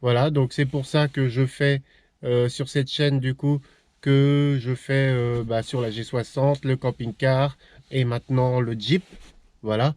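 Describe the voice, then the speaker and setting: Recorded very cleanly against a silent background, a man speaks at medium pitch with monotone, flat intonation in a dry, close sound with no echo. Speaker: YouTuber vlogging about camper van and old cars. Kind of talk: casual vlog talk to camera. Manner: fast, less articulated; hesitant with many fillers.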